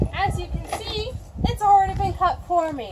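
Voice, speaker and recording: Loud background noise fills the recording. Through it, a woman talks at a fairly slow pace. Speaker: presenter. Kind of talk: casual tutorial. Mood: playful, joking, mock-sneaky. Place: street. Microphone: camera far.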